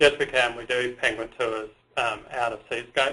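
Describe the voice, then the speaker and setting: With an Australian accent, a man speaks at a medium pitch in a bright, sharp tone and fairly even intonation. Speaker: tour operator. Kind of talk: webinar presentation. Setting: webinar.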